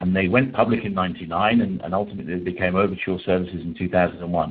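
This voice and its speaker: With a British accent, a man talks at a very fast pace in a very deep, low pitch with fairly even intonation, and audible room echo surrounds him. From UK. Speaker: PPC coach. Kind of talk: webinar lecture. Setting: webinar call. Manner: halting, many fillers.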